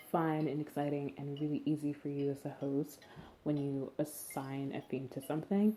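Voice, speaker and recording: Speaking at a moderate pace, a woman has a very deep, low pitch, a dark, mellow tone and fairly even intonation. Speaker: podcast host. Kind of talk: casual podcast tips. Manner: casual, filler-heavy; stumbling.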